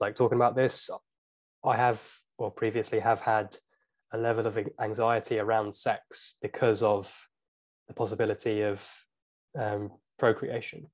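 Someone speaks with a British accent against a quiet background. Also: man. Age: 20s. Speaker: YouTuber. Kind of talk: casual chat.

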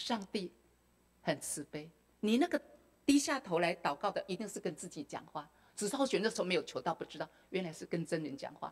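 Speaking at a fairly quick pace, a woman's voice swings very widely in pitch. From Taiwan. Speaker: retired school principal; speaker. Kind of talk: testimony. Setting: temple hall with audience. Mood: emotional recollection of hardships. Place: hall. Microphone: handheld.

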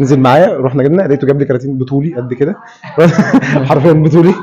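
This man speaks at a very fast pace. His medium-pitched voice has a dark, mellow tone. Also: ordinary pitch variation.

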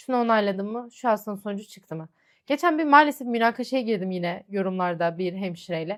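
Using an ordinary speaking voice, a woman talks at a fairly quick pace with a fairly high pitch and lively intonation. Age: 20s. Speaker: lab technician and vlogger. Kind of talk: Q&A vlog, casual monologue. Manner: chatty, conversational.

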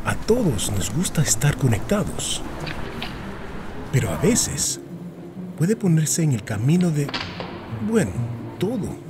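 A man with a fairly high voice speaks at a fairly slow pace, his pitch swinging very widely. Long, frequent pauses break up his speech, and background noise is noticeable. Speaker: voice actor. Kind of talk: public service announcement read.

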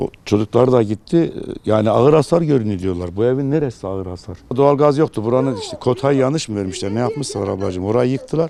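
Speaking at a fairly quick pace, a man uses a plain, everyday voice with lively intonation. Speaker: neighbourhood headman. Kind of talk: interview answer.

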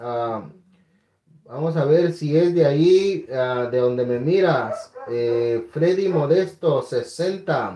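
This man talks very slowly, his intonation lively throughout. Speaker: coin auctioneer and live-stream host. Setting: live stream online. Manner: animated, upbeat, warm and friendly with bidders.

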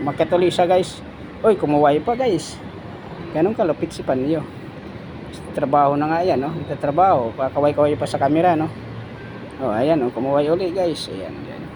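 A man with a fairly high pitch and ordinary pitch variation talks at a moderate pace, with long, frequent pauses and noticeable background noise. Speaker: construction painter and vlogger. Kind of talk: casual vlog narration. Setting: construction site.

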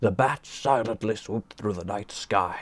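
The voice is a natural reading voice. It is used to read aloud.

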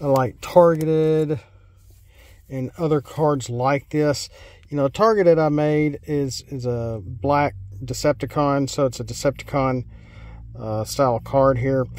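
Heard in a dry sound with no echo, a man talks at a fairly slow pace with ordinary pitch variation. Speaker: card game reviewer. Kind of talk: casual card review commentary. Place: car.

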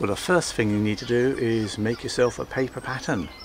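The voice has ordinary pitch variation, with light background noise behind it. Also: man. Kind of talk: tutorial. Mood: relaxed, cheerful. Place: garden.

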